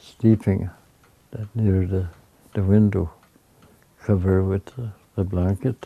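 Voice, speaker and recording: A man's fairly low, dark, mellow voice, somewhat breathy, fairly slow and fairly even, with long, frequent pauses. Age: old. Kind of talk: personal life story.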